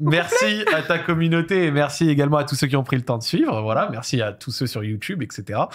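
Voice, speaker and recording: A man's voice with lively intonation, a fairly quick pace and hardly any pauses. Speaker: talk show host. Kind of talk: casual interview. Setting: studio. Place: studio. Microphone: studio mic.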